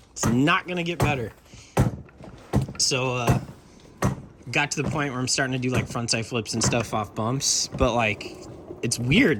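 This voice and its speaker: A medium-pitched man at a moderate pace with long, frequent pauses and noticeable background noise. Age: 40s. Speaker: skateboard videographer and channel host. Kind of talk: casual chat.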